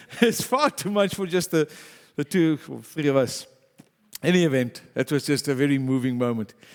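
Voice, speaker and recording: At a moderate pace, a man with a fairly high voice speaks with lively intonation. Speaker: pastor. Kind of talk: sermon. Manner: loud.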